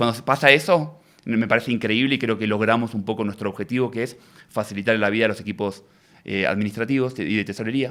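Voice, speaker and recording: In a very clean recording with a silent background, a man with an Argentine accent talks at a very fast pace, his medium pitch showing ordinary variation. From Argentina. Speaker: tech entrepreneur. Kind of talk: interview. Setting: studio.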